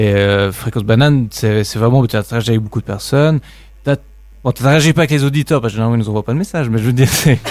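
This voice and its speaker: A man's medium-pitched voice at a very fast pace. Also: ordinary pitch variation. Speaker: student radio member. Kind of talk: casual chat.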